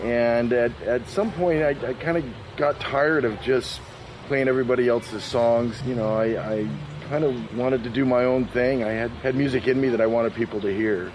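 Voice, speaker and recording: Over noticeable background noise, a man with a medium pitch and ordinary pitch variation talks at a moderate pace with very even loudness. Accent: American. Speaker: blues musician and singer. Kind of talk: interview. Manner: halting, repeats words.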